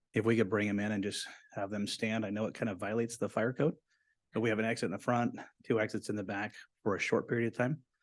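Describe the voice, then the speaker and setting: Against a quiet background, a man rattles along at a very fast pace, his fairly low voice monotone and flat. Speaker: city official. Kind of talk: procedural remarks at council meeting. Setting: council chambers.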